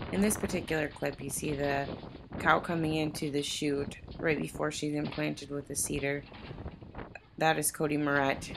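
A woman with an American accent, her pitch very deep and low, at a moderate pace with long, frequent pauses, flat and monotone, over noticeable background noise. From US Midwest (South Dakota). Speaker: farm family member explaining cattle breeding. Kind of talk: video narration.

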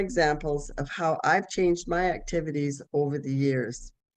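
A woman talks at a fairly slow pace while faint music plays in the background. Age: 70s. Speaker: retiree living with spinal cord injury. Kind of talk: personal testimony. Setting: video call. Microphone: video call.

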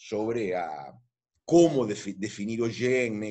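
A man with a fairly low pitch and a dark, mellow tone talks against a quiet background. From Argentina. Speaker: philosophy professor. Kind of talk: interview. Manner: halting. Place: home room. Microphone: video call.

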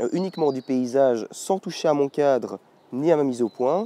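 The voice belongs to a man and has a dark, mellow tone. There is no echo, and the sound is dry and close. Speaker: photography youtuber. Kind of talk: tutorial. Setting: outdoors in a wood.

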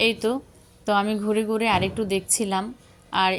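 A woman's medium-pitched voice, monotone and flat in intonation, over noticeable background noise. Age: young. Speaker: home gardening vlogger. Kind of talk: vlog narration. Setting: rooftop garden outdoors.

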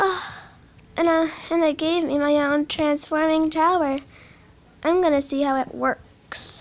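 A woman speaks in a high, monotone voice with flat intonation at a fairly slow pace. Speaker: toy play narrator. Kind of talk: toy play voice acting. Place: home room. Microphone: phone near.

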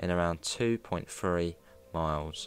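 With lively intonation, a man speaks at a very deep, low pitch, and the sound is dry with no echo. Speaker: student documentary narrator. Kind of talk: documentary narration.

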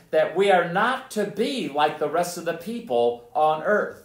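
Loud and fairly slow, a man speaks at a high pitch with lively intonation amid audible room echo. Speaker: pastor. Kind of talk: sermon. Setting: church. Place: hall.

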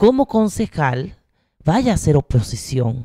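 Over a quiet background, a woman speaks at a fairly slow pace with a very deep, low pitch and a dark, mellow tone. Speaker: university researcher, council candidate; council candidate. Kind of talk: campaign presentation. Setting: stage with audience. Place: classroom. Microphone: handheld.

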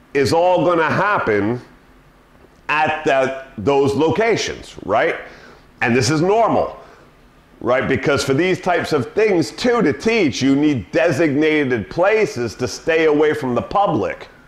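A man speaking at a fairly slow pace, with audible room echo. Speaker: dog trainer. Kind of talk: tutorial. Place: home room. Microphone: camera far.

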